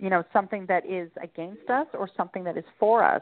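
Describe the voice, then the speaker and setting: The delivery is very fast. Its intonation is lively. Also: woman. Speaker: author and podcast guest. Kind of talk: interview.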